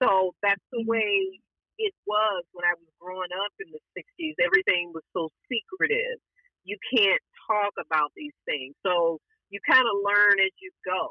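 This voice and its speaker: Delivered in a Southern US accent, the speech moves at a fairly slow pace with ordinary pitch variation. Loudness swings widely throughout. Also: woman, medium pitch for a woman. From Alabama, Appalachian US South. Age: 50s. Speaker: trauma survivor, podcast guest. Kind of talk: interview answer.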